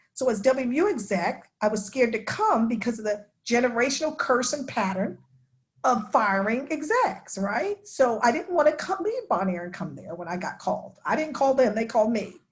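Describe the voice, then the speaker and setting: A woman with an American accent uses a normal speaking voice at a fairly high pitch, speaking at a moderate pace with lively intonation. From New York, Long Island. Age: 60s. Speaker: denominational ministry executive. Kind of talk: class discussion talk.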